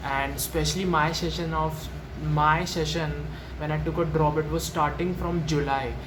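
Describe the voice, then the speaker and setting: A man with an Indian accent at a moderate pace, audible room echo and noticeable background noise. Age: young. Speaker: student vlogger. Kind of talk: personal story vlog. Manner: halting, with many fillers.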